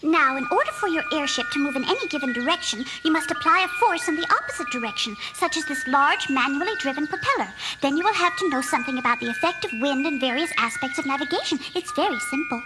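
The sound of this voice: A cartoonish character voice, high in pitch, races at a very fast pace over clear background noise.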